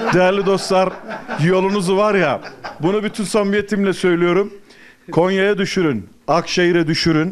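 Light background noise is present as a man talks at a high pitch. His pace is moderate and his loudness very even. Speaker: travel show host; TV travel show host. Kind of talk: casual on-location chat. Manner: animated. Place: home room.

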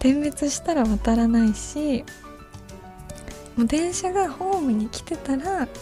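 Clear music plays behind a woman whose high-pitched voice has lively intonation and a dry sound with no echo. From Kansai, Japan. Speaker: voice actress and idol. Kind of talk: late-night radio talk. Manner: casual, hesitant. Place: studio. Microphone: studio mic.

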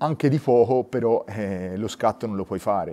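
A man speaks at a fairly slow pace with lively intonation. His tone is dark and mellow. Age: 40s. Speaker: nature photographer. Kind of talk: interview. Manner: halting, with repetitions and fillers. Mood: enthusiastic storytelling. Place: studio.

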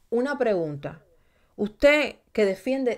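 Her tone is animated and her intonation lively as a woman speaks at a moderate pace. The background stays quiet. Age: 30s. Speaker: YouTube true crime streamer. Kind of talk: livestream commentary. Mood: indignant, emphatic. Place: home room. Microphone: studio mic.

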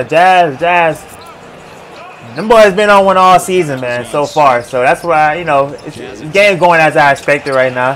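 In an unremarkable speaking voice, a man talks at a fairly slow pace with a fairly high pitch and lively intonation over light background noise. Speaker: sports reaction YouTuber. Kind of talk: casual play-by-play reaction commentary over game highlights. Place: home room. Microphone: webcam.

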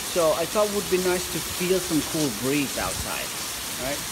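Loud background noise sits under speech at a fairly slow pace. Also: man. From Philippines, Igorot highlands. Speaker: vlogger. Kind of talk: casual talk to camera. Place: street. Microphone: phone near.

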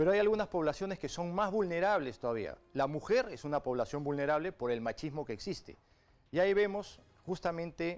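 With lively intonation and a fairly high pitch, a man speaks at a moderate pace. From Peru. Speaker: politician. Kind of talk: political interview. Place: studio. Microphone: lapel.

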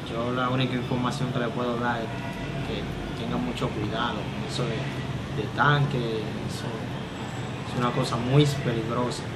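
Over loud background noise, a man speaks at a moderate pace with long, frequent pauses. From Dominican Republic. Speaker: firefighter. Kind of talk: interview answer. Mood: subdued, serious. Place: home room. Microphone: phone near.

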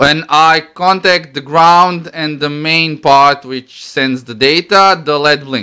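Against a quiet background, a voice with a bright, sharp tone and a Croatian accent moves at a very slow pace. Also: man. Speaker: electronics hobbyist demonstrating a homemade device. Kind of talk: tutorial. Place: home room. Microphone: phone near.

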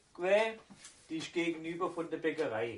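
With a Swabian accent, a man speaks at a moderate pace. His pitch is fairly high. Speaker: baker. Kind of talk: casual anecdote storytelling.

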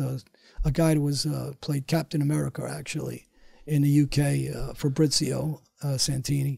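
A man with a New York accent talks at a moderate pace in a somewhat breathy, fairly high voice. The background is quiet and the sound is dry with no echo. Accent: New York (Queens). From New York City (Queens); New York City. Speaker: former mob enforcer, motivational speaker; motivational speaker. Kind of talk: interview storytelling. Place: studio. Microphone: studio mic.

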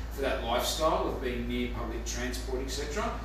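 A man speaks with strong echo filling the room. Background noise is noticeable throughout. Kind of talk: market update talk to camera. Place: office. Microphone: camera far.

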